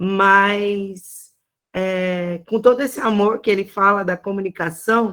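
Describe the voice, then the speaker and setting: Her pace is very slow. The woman keeps a fairly even intonation. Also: medium pitch for a woman. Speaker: church communications trainer. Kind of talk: training talk. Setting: video call.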